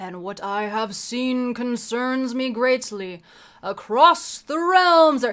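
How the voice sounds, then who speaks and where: A woman puts on a high-pitched character voice. She speaks at a very slow pace. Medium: read story. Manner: grave, imperious.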